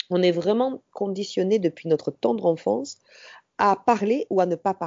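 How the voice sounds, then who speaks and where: A woman speaks with very wide pitch swings. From southern France, Ariège. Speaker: entrepreneur, women's empowerment trainer. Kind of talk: interview conversation. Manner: hesitant, many fillers.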